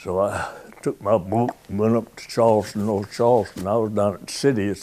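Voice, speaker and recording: This man has a South Carolina accent and a fairly low pitch. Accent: Southern US (South Carolina). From US South. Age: 90s. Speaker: war veteran. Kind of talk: oral history interview. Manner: halting.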